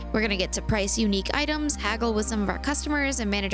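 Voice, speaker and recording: Over background music, a woman talks at a very fast pace. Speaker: let's play streamer. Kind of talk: visual novel playthrough with voiced dialogue. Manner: upbeat.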